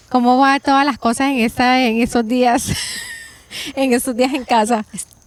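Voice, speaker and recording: Amid noticeable background noise, a woman with a high pitch speaks at a moderate pace with fairly even intonation. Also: very even loudness. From Colombia, Cartagena (Caribbean coast). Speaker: podcast host. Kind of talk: casual interview chat.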